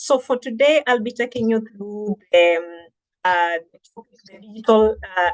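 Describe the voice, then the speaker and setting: With a Kenyan accent, a woman speaks at a fairly high pitch. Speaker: digital marketing trainer. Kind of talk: webinar presentation.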